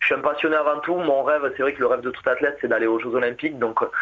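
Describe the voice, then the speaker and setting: A man with a southwestern French accent, fairly high in pitch, fairly even in intonation, at a very fast pace. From southwest France, Agen. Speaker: marathon runner. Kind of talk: radio interview. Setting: phone call. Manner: halting.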